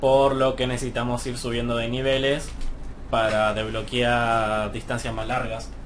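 Amid noticeable background noise and audible room echo, a man at medium pitch speaks at a fairly slow pace in a monotone, flat intonation. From Argentina, Mar del Plata. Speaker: gaming YouTuber. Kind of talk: gameplay commentary. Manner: hesitant, many fillers.

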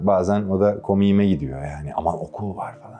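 A man talks at a moderate speed while background music plays. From Istanbul, Turkey. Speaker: voice actor. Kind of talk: interview.

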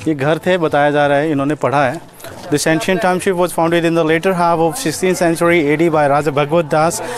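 Against light background noise and a dry sound with no echo, a man speaks at a fairly quick pace with very even loudness and fairly even intonation. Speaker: travel vlogger. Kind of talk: casual vlog chat. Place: open country. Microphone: lapel.

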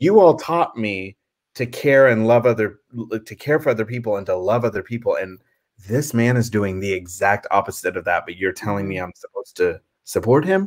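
With an American accent, a man talks at a fairly quick pace with lively intonation and big swings in loudness over a quiet background. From US South. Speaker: theater nonprofit founder; guest, theater actor. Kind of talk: interview conversation. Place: home room.

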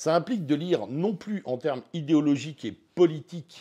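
Quiet surroundings behind a man speaking. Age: 50s. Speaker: teacher and web radio founder; teacher, radio founder. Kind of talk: interview. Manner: hesitant, many filler sounds. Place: home room. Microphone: lapel.

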